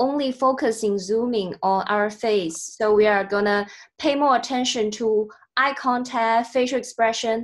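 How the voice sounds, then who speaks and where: This woman's voice sits at a fairly high pitch and shows ordinary pitch variation. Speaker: online meeting trainer. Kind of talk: video call training session. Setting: video call. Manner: slow.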